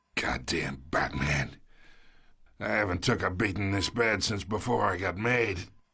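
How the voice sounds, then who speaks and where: A man puts on a raspy character voice with a very deep, low pitch. He delivers it at a moderate pace with lively intonation. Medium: video game. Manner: gruff, condescending mobster.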